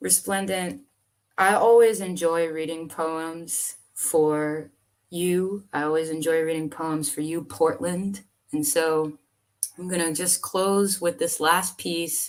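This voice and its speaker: Using an American accent, a woman speaks at a very slow pace in a fairly low pitch with ordinary pitch variation. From US South. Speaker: poet. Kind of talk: casual chat; poetry reading.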